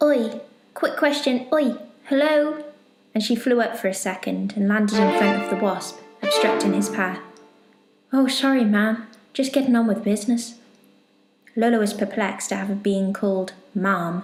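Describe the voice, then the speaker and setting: At a moderate pace with long, frequent pauses, the voice keeps a very even loudness and an ordinary amount of pitch variation, with music playing in the background. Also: woman, fairly high pitch for a woman. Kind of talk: bedtime story narration.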